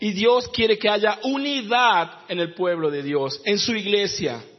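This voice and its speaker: Talking very slowly with lively intonation, a man uses a high voice while audible room echo and noticeable background noise fill the recording. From northern Argentina, Jujuy. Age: 30s. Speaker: pastor and missionary. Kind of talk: sermon. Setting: church.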